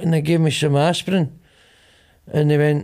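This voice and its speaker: This man speaks at a moderate pace in a strong Glaswegian accent, his pitch fairly high. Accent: Glaswegian, broad. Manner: animated, mocking, repeating himself for emphasis.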